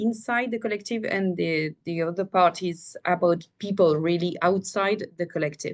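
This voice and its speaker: A woman speaks in a French accent. Her pitch varies in an ordinary way. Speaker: cultural collective member. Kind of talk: webinar presentation. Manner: halting.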